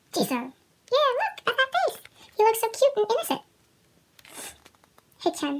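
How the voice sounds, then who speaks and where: At a moderate pace, a woman speaks in an upbeat, bright, sharp tone with very wide pitch swings and light background noise. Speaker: fan unboxing merchandise. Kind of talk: casual unboxing talk to camera. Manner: upbeat, chatty. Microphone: phone near.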